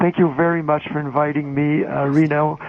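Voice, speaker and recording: Against noticeable background noise, a man with a Quebec accent speaks at a fairly high pitch in a monotone, flat way. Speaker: journalist and magazine editor. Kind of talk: conference talk. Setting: phone call. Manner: soft-spoken; hesitant. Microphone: phone line played on stage, too quiet.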